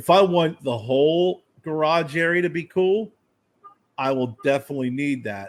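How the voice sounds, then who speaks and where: This man speaks in a plain, everyday voice. His pitch sits fairly high and his pace is moderate. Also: ordinary pitch variation. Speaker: podcast co-host. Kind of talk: casual chat. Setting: home garage studio.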